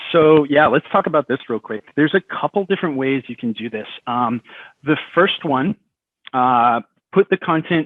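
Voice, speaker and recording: A man with a fairly high pitch and lively intonation. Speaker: software expert presenter. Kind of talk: webinar presentation; panel discussion answer. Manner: fast.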